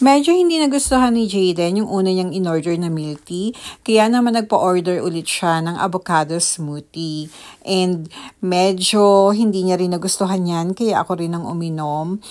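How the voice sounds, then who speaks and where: A woman's medium-pitched voice with ordinary pitch variation over a quiet background. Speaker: vlogger. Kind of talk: vlog voice-over. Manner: deliberately lightened, softened voice.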